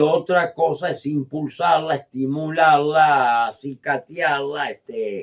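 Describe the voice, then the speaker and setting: Very slow in pace, a man speaks at a fairly high pitch. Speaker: radio host. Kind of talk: radio interview.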